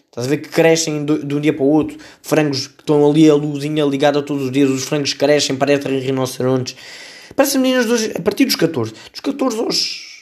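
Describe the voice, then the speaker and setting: A man with a Lisbon accent, fairly high in pitch, at a fairly quick pace. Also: ordinary pitch variation, big swings in loudness. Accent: European Portuguese, Lisbon area. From Portugal, Setúbal. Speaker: podcast host. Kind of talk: comedic solo commentary.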